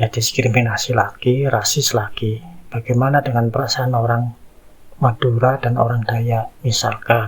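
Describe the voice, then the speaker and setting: The delivery is flat and monotone at a moderate pace, with noticeable background noise. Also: man, medium pitch for a man. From Indonesia, East Java. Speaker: content creator, social commentator. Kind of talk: casual monologue, commentary.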